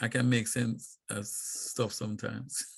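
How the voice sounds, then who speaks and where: Vocal fry runs through a man's medium-pitched voice. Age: 50s. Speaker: poet, author and talk show host. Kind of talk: casual chat.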